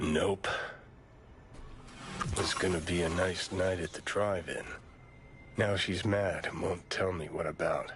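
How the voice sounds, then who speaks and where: In a put-on character voice, a man speaks with a very deep, low pitch at a moderate pace. Long, frequent pauses break his lines, and background noise is clear. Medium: video game. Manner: dry, clipped.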